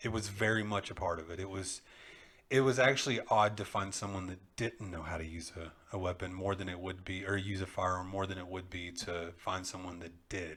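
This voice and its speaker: A man with a Texan accent speaks at a fairly quick pace. His voice is very deep and low, with fairly even intonation. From Texas (east Texas). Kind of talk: casual chat.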